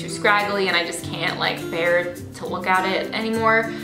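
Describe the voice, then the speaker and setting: A woman's voice with clear music in the background. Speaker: beauty vlogger. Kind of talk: casual vlog chat. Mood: cheerful, relaxed. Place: home room.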